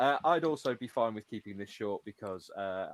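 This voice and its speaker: Fairly low in pitch, a man with an English accent speaks with ordinary pitch variation in a dry, close sound with no echo. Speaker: podcast host. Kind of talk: casual chat. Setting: livestream from home. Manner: quiet. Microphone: USB mic, too quiet.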